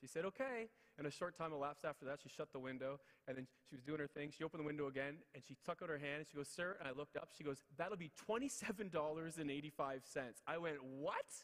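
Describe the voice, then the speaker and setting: A man with a Canadian accent, animated in tone, fairly high in pitch, at a very fast pace. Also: ordinary pitch variation. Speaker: motivational speaker. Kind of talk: motivational speech.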